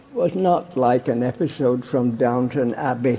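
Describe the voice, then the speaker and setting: Over noticeable background noise, a man with a Yorkshire accent speaks very slowly at a medium pitch, his intonation lively. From Barnsley, England. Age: 80s+. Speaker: war veteran. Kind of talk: political conference speech.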